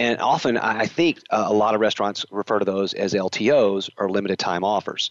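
A man with a Southern accent, at a moderate pace, with ordinary pitch variation. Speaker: podcast host. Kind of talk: interview. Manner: hesitant, with fillers.

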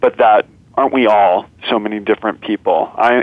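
At a moderate pace, a man with a fairly low pitch speaks in an unremarkable speaking voice, his intonation fairly even. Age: 30s. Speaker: documentary filmmaker. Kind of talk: interview conversation.

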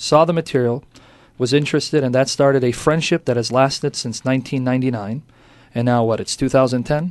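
A man with an unremarkable speaking voice talks at a fairly quick pace. His intonation is fairly even, and the background is quiet. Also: medium pitch for a man. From United States. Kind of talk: radio interview.

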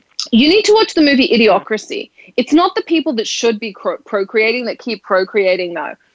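A woman's fairly high, animated voice with very wide pitch swings, a fairly quick pace, and a dry, close sound free of echo. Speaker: radio talk show host. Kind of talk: casual talk show chat.

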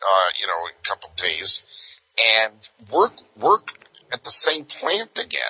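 Recorded with a dry, close sound and no echo, a man with a slight Brooklyn accent speaks at a moderate pace. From Southern California. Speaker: private investigator. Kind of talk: casual interview storytelling. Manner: conversational, anecdotal.

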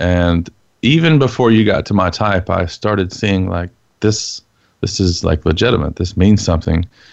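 A man talks at a moderate pace with an American accent. His fairly low pitch shows ordinary variation. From Texas. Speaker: former prisoner, enneagram teacher. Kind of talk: interview testimony.

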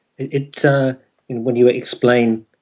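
A man speaks at a moderate pace with a northern English accent, his pitch sitting in the middle range. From northern England. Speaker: internet radio show host. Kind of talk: interview.

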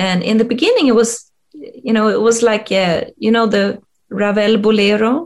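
The speaker has a Swedish accent. Loudness stays very even, with ordinary pitch variation. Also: woman, fairly high pitch for a woman, moderate pace. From rural Sweden. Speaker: leadership coach and HR expert. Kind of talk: interview. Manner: halting, many fillers.

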